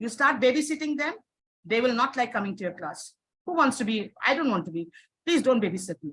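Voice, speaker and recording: Talking at a very fast pace, a woman speaks in a high pitch with very wide pitch swings. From India. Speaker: teacher trainer. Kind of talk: webinar Q&A. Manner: emphatic, repetitive; hesitant fillers.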